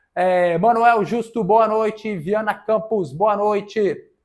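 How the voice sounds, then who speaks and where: A man talks at a fairly slow pace. The background is silent and the recording very clean. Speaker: lawyer answering viewer questions on debts. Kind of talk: live stream Q&A. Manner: casual, conversational.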